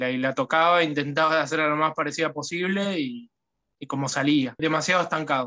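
A man speaks with a fairly high pitch and a Rioplatense accent, his intonation fairly even and his tone bright and sharp against a quiet background. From Argentina, Buenos Aires province. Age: 20s. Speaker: guitar student. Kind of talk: testimony. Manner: halting, repeats words. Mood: grateful, relaxed. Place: home room. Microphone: phone near.

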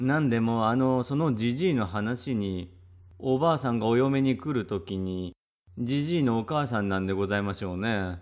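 A man talks at a moderate pace with lively intonation and medium pitch. It is a plain, everyday voice, heard over a quiet background. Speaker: storyteller reading a classic ghost story. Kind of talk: literary kaidan reading aloud, old-fashioned storytelling. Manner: formal, polite old-fashioned speech, narrating like an elderly woman.

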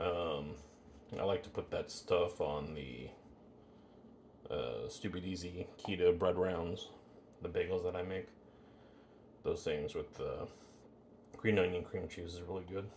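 A man speaks at a very deep, low pitch with vocal fry and ordinary pitch variation. His pace is fairly slow, with long, frequent pauses, over light background noise. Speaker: home cook vlogger. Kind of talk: casual vlog chat. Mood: relaxed, chatty. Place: kitchen. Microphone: camera far.

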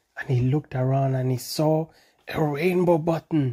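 A man's voice sits fairly high, with a dark, mellow tone and a slightly husky edge. He speaks at a fairly slow pace with fairly even intonation.

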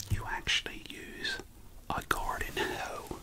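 A man's whisper at a very slow pace. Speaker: ASMR storyteller. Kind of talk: ASMR storytelling to camera. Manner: soft-spoken, casual, conversational. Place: home room. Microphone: studio mic.

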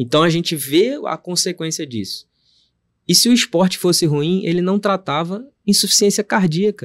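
Against a quiet background, a man speaks at a moderate pace in a high-pitched voice. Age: 40s. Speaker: cardiologist; podcast guest. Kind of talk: interview. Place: studio. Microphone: studio mic.

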